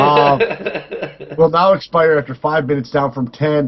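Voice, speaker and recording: At a moderate pace, a man with a fairly high pitch speaks in a somewhat breathy voice. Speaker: gaming podcast co-host. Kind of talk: casual chat, reading patch notes aloud. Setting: live stream recording. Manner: halting, stumbles over words.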